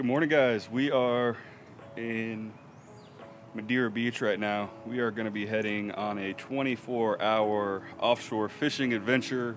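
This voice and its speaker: A man at a fairly slow pace with fairly even intonation, over music in the background. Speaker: fishing boat captain vlogger. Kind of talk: casual vlog chat. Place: boat. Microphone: phone near.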